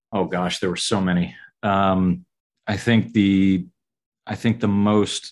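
With an American accent, a man talks at a very deep, low pitch. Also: quiet background. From US South (southern Georgia). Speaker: architect. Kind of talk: interview.

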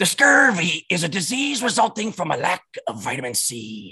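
This is a put-on character voice with a raspy sound. It moves along at a moderate pace. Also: man.

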